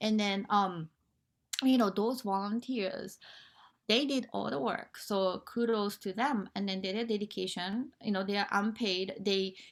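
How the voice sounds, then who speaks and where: A woman with a Japanese accent speaks at a fairly high pitch with fairly even intonation. The recording is very clean, and the background is silent. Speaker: nonprofit founder and motivational speaker. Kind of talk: interview. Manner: halting, with many fillers.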